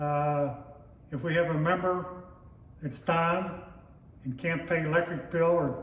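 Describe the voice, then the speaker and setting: Against noticeable background noise and audible room echo, a man with a Pittsburgh accent speaks fairly slowly at a fairly high pitch, his intonation fairly even. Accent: western Pennsylvania (Pittsburgh). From western Pennsylvania (Pittsburgh north hills). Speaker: lodge member, oral history interviewee. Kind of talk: oral history interview.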